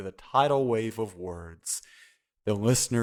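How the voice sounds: A natural reading voice, ordinary pitch variation and a quiet background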